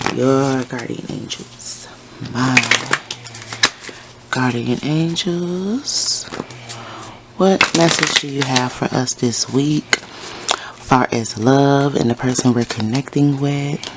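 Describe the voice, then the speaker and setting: A woman speaks at a very slow pace in a very deep, low voice with ordinary pitch variation. Long, frequent pauses occur over noticeable background noise. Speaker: tarot reader. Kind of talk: tarot reading. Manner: casual.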